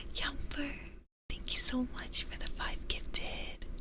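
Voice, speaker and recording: Someone is whispering. Audible room echo surrounds the voice. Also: woman. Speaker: vtuber streamer. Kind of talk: ASMR tarot reading stream. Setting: live stream. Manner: soft-spoken.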